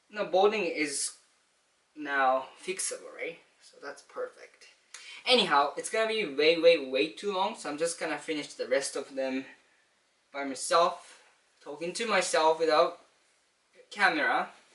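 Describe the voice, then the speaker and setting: At a high pitch and a moderate pace, a man talks with ordinary pitch variation, big swings in loudness, and long, frequent pauses. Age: 20s. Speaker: vlogger. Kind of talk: casual monologue. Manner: halting.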